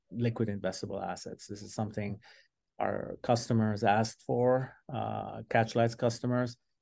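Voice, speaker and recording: Against a quiet background, a man speaks at a fairly low pitch in an ordinary speaking voice. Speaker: data scientist. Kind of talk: interview.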